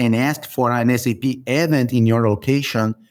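A man with a Brazilian accent speaks at a moderate pace and medium pitch. His intonation is fairly even, and the recording is very clean with a silent background. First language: Portuguese. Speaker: software consultant. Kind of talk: podcast interview.

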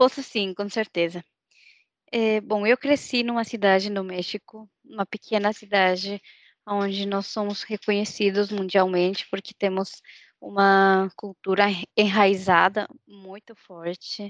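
Recorded dry and close with no echo, a woman with a Mexican accent talks in a medium pitch with flat, monotone intonation. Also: fairly slow pace. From Mexico. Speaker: trainee. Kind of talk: casual interview.

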